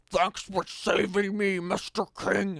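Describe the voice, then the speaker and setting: A man uses a put-on character voice, pitched high and spoken at a fairly slow pace. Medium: read story.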